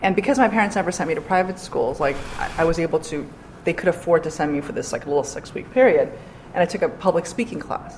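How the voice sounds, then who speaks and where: With a Korean accent, a woman speaks very fast at a medium pitch with lively intonation. Noticeable background noise sits behind her. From New York City, Queens. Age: 40s. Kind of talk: interview.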